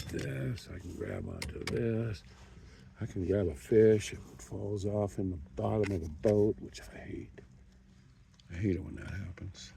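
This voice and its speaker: A man with a very deep, low voice speaks at a fairly slow pace, leaving long, frequent pauses. His intonation is lively and his tone relaxed, with big swings in loudness and audible room echo. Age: 60s. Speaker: kayak angler. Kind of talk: casual vlog narration. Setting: outdoors on a lake in a kayak. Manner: relaxed, rambling with fillers.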